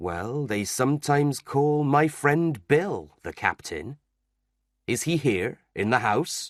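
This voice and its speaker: In a put-on character voice, a man speaks at a fairly slow pace and a fairly high pitch. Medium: read story. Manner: sly, wheedling.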